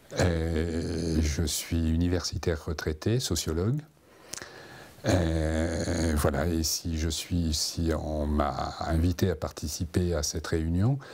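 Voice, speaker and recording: Very slowly, a man talks in a very deep, low pitch with fairly even intonation. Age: 70s. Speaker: retired sociologist. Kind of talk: interview.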